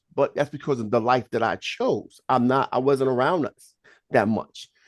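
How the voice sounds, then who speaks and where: A man with a New York accent, medium pitch, moderate pace and an animated tone, in a dry, close sound with no echo. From Brooklyn, New York. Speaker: polygamist giving relationship advice. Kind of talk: group discussion.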